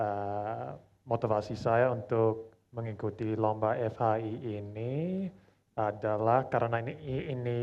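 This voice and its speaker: The speaker talks at a very slow pace with an English accent and fairly even intonation. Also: man. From Australia. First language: English (speaking Indonesian). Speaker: language learner, competition participant. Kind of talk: self-introduction; reading aloud a letter. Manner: formal.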